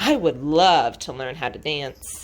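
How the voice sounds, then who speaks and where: Put-on character voice from a woman, very deep and low in pitch, at a fairly slow pace. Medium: read story. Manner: slow, heavy, earnest.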